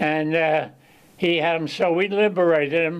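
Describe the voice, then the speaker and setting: At a fairly slow pace, a man talks in a high voice. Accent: Philadelphia. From Chester, Pennsylvania. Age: 90s. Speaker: war veteran. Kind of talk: casual interview storytelling. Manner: halting.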